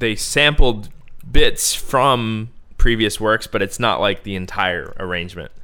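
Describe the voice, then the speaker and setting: At a fairly slow pace, a man with an American accent speaks with big swings in loudness. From Bowie, Maryland (DC suburbs). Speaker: podcast host, electronic music producer. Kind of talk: casual chat.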